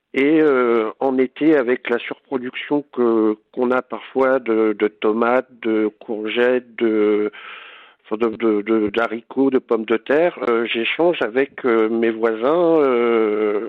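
Very even in loudness, a man with a medium pitch and fairly even intonation speaks at a very slow pace. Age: 40s. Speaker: home cook and food influencer. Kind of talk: casual interview. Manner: hesitant, many fillers.

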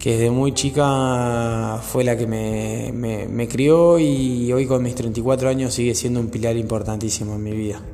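At a fairly slow pace with hardly any pauses, a man with a Rioplatense accent speaks at a medium pitch with fairly even intonation, and audible room echo surrounds him. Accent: Argentine Rioplatense Spanish. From Argentina, Buenos Aires province. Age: 30s. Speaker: dog groomer and podcaster. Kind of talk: personal monologue. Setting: partner's workshop. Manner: halting, many fillers.

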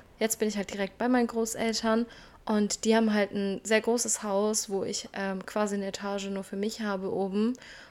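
At a moderate pace, a woman with a medium pitch speaks in a monotone, flat intonation in a very clean recording with a silent background. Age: 20s. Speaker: self-development podcaster. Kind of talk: casual personal monologue.

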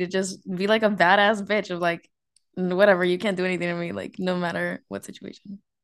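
Her intonation stays fairly even as this woman talks at a moderate pace. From US, Mexican-American family. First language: Spanish. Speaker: podcast host. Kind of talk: casual chat, date conversation.

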